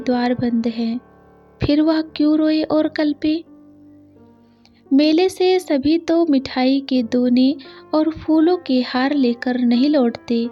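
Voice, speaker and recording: Music plays in the background as a woman speaks at high pitch with fairly even intonation. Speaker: story narrator. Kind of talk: read story.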